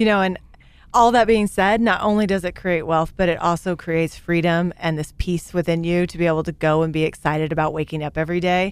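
With a Midwestern American accent, a woman with a fairly low pitch talks at a very fast pace in fairly even intonation. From Kansas (Great Bend). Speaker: business show host. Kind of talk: interview.

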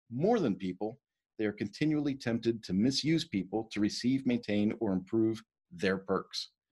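The pace here is moderate. The pitch moves in an ordinary way in a normal speaking voice. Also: man. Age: 50s. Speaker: leadership coach. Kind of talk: lecture. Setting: video call.

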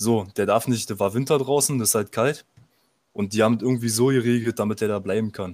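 A man speaks at a fairly quick pace in a plain, everyday voice, his pitch fairly low. His intonation stays fairly even, and the recording is very clean with a silent background. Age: 20s. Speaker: fitness enthusiast. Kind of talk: casual chat.

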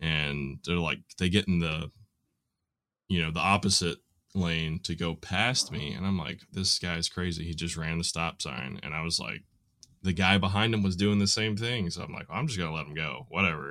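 Talking at a moderate pace with ordinary pitch variation, a man with a Southern US accent has a very deep, low voice and a bright, sharp tone. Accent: Southern American. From US South, Nashville Tennessee. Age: 30s. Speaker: hardware store worker. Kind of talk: casual conversation. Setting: remote recording.

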